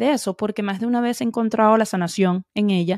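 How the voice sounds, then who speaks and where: Her fairly high pitch and ordinary pitch variation mark a woman's normal speaking voice, captured on a very clean recording with a silent background. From Venezuela. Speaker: podcast host. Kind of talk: interview.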